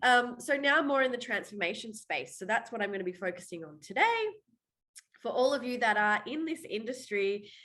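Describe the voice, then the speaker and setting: With an Australian accent, a woman talks at a fairly quick pace in a high-pitched, bright, sharp tone, her intonation lively and her loudness swinging widely. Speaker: waxing trainer and mindset coach. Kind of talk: webinar presentation. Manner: talkative.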